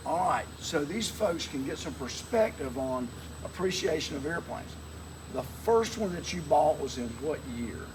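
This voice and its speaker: There is audible room echo and noticeable background noise as a man speaks at a fairly high pitch with very wide pitch swings. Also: moderate pace. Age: 60s. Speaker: interviewer, pilot's nephew. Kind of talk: casual interview chat. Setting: outdoors at an airfield beside a plane.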